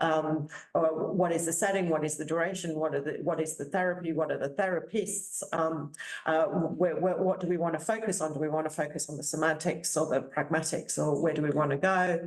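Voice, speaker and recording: Amid noticeable background noise and audible room echo, a woman with a very deep, low pitch talks at a fairly quick pace with fairly even intonation. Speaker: professor. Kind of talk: conference presentation. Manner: halting, many repetitions.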